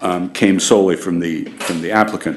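Here a man speaks with a very deep, low pitch. His intonation is fairly even. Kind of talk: formal meeting statement. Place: hall. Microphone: podium.

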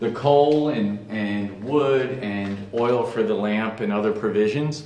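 Audible room echo around a man whose pitch varies ordinarily. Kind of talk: casual vlog chat. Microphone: phone near.

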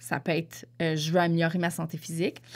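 Recorded very cleanly against a silent background, a woman speaks in a Quebec accent. Her pitch is fairly low. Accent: Québécois French. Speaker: podcast host. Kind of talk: casual monologue. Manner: hesitant, many fillers.

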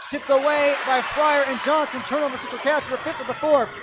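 A man speaks in a raised, projected voice with fairly even intonation. The sound is dry with no echo, over loud background noise. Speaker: sports broadcaster and TV reporter. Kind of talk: live sports play-by-play commentary. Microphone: headset.

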